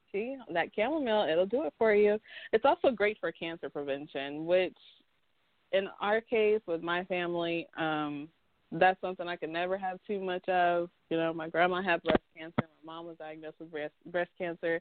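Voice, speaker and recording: A woman's fairly low voice in an American accent, at a moderate pace, with ordinary pitch variation and big swings in loudness. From North Carolina. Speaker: co-host of a tea podcast. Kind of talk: casual chat.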